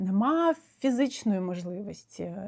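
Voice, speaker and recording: On a very clean recording with a silent background, a woman at a medium pitch speaks with lively intonation. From Ukraine. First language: Russian (speaking Ukrainian). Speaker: psychotherapist. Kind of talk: video monologue. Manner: hesitant, with frequent fillers.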